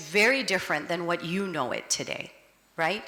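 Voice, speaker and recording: A woman talks at a moderate pace in an American accent, with noticeable background noise present. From United States. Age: 50s. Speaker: advocacy organization director. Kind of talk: public talk.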